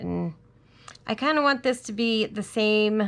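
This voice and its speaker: Heard here is a woman. Her pitch is fairly high. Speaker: crafting tutorial host. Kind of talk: tutorial. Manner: casual, thinking aloud.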